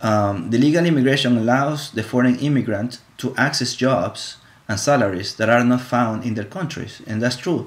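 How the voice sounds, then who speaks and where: A man talks at a moderate pace and medium pitch, with hardly any pauses. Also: ordinary pitch variation. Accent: Spanish. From Ecuador. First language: Spanish. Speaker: college student. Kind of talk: class presentation. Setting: live stream. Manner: halting, many fillers and repetitions.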